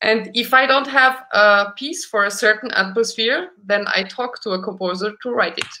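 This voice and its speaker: A woman's fairly high, bright, sharp voice at a moderate pace with hardly any pauses, ordinary pitch variation, and a quiet background. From Romania. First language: Romanian. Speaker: concert pianist; guest. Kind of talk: casual interview chat; interview answer. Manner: halting, repeats words. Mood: warm, reflective. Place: home room.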